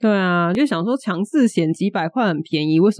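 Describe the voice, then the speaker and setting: Speaking fairly quickly in a Taiwanese accent, a woman uses ordinary pitch variation, the sound dry and close with no echo. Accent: Taiwanese Mandarin. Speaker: podcast co-host. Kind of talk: casual chat.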